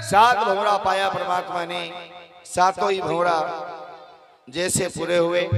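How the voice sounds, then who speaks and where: Over music in the background, a man with a high voice speaks with fairly even intonation and long, frequent pauses. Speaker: storyteller / religious kathavachak. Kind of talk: devotional storytelling (katha) to a live audience.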